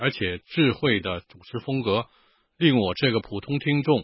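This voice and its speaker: This man talks at a medium pitch. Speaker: listener letter reader. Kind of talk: reading aloud.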